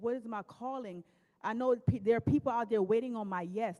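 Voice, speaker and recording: A woman with a Jamaican accent speaks at a fairly quick pace, her fairly high voice carrying a dark, mellow tone. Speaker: panel moderator and author. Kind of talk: panel discussion.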